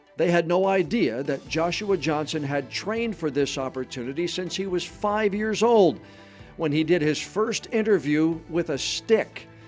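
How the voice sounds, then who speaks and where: Over music in the background, a man with a high pitch talks at a moderate pace using lively intonation. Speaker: interviewer. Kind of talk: show host introduction.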